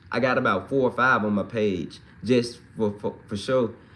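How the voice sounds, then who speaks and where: A man at a moderate pace with a slight Mississippi accent. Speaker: livestreamer and hip-hop musician. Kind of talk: casual livestream chat reading comments. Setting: live stream. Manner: relaxed, conversational with fillers.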